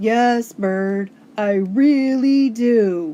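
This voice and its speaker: A woman puts on a character voice at a fairly high pitch. Her pitch varies in an ordinary way. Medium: read story.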